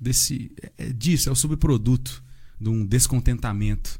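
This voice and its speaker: A man speaks at a moderate pace with a medium pitch. His pitch varies in an ordinary way. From Santa Isabel, São Paulo state, Brazil. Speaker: construction worker, churchgoer. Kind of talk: casual chat.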